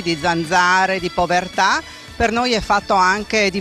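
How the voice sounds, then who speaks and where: Clear music plays in the background behind a woman's voice. The sound is dry, with no echo. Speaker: festival participant in costume. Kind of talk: interview answer. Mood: proud, earnest about homeland. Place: street. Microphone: handheld.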